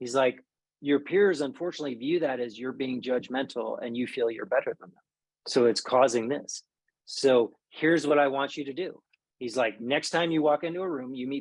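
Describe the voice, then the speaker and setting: Fairly quick male speech in an American accent, fairly high in pitch, with ordinary pitch variation and big swings in loudness. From Maryland, US. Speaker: army veteran. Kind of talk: interview. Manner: quiet by nature.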